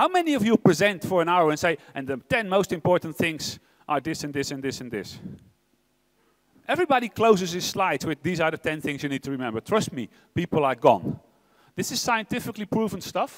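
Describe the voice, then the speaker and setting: With a Dutch accent, a man speaks fairly quickly in a high pitch, his voice swinging very widely. The sound is dry and close, with no echo. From Netherlands. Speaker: tech executive. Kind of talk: keynote speech. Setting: stage with audience. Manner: fast; animated.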